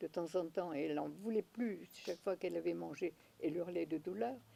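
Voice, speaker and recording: Speaking at a moderate pace, a woman uses a fairly low pitch with vocal fry. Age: 90s. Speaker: naturopath. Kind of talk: interview. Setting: at her home.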